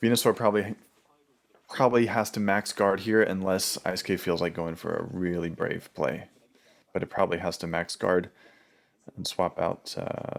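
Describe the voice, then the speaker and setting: A man speaks quietly at a fairly low pitch and moderate pace, with fairly even intonation. Long, frequent pauses break up his speech on a very clean recording with a silent background. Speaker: gaming commentator. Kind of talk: live reaction commentary. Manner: quiet, low-voiced.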